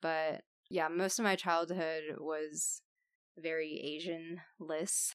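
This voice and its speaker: A woman with an American accent, on a very clean recording with a silent background. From Texas. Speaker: podcast guest. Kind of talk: casual chat.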